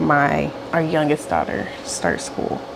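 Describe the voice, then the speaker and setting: Over noticeable background noise and audible room echo, a woman with a very deep, low pitch talks at a fairly slow pace. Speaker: stay-at-home mom vlogger. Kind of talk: casual vlog chat.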